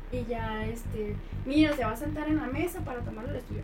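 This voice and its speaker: Speech comes at a fairly quick pace with audible room echo. Music plays in the background. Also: woman. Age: 20s. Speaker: radiologist. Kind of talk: casual chat.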